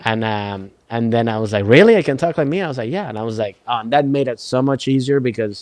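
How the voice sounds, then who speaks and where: Speaking with a Venezuelan accent at a very fast pace with hardly any pauses, a man uses a medium pitch and ordinary pitch variation. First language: Spanish. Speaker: stand-up comedian and actor. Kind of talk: casual chat. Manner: halting, many repetitions and fillers.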